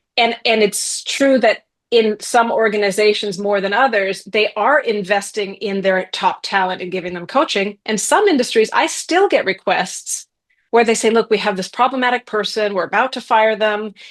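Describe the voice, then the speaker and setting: A woman with an American accent speaks in an ordinary speaking voice at a moderate pace over a quiet background. Her pitch is fairly high, with ordinary pitch variation. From US Midwest, Columbus, Ohio. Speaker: executive coach and author. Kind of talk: podcast interview.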